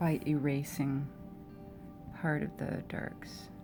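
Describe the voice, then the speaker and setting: Over music in the background, a woman with an American accent speaks very slowly in a very deep, low voice with ordinary pitch variation. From Oakland, California. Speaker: artist. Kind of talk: casual narration while drawing, stream of consciousness. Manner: relaxed, thinking aloud.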